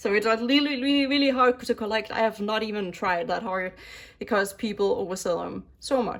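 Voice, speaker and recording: A Danish accent at a fairly quick pace, with ordinary pitch variation. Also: woman, fairly high pitch for a woman. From Denmark. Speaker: K-pop album collector YouTuber. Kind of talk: casual chat. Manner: animated.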